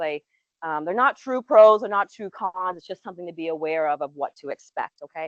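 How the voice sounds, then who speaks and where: With lively intonation and a medium pitch, a woman talks at a fairly quick pace. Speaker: pulmonologist. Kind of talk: lecture. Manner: loud, projecting.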